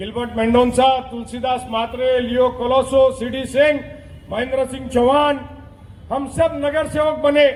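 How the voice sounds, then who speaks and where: A man speaks at an extremely high pitch in a monotone, flat delivery. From India, Mira Bhayandar (Mumbai region). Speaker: politician. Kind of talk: election campaign speech.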